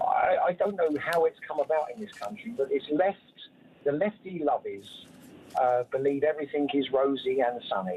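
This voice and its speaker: Noticeable background noise sits behind a man whose fairly high pitch moves in very wide swings. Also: moderate pace. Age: 70s. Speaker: caller. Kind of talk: phone-in call. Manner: halting.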